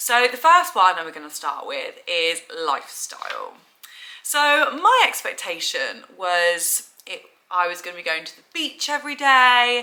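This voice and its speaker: A woman with a London accent talks at a fairly slow pace in a high pitch. Her pitch swings very widely and her loudness shifts a lot. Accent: southern English (London). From England. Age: 20s. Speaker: vlogger. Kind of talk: casual vlog talk to camera.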